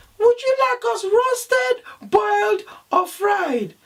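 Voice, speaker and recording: A man puts on a squeaky character voice at an extremely high pitch. He drags it out at a very slow pace. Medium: read story. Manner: polite, eager to please.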